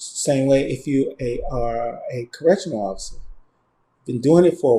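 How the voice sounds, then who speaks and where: Somewhat breathy, a man talks at a moderate pace and medium pitch, with a dark, mellow tone and ordinary pitch variation. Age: 60s. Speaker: screenwriter. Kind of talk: interview. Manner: halting.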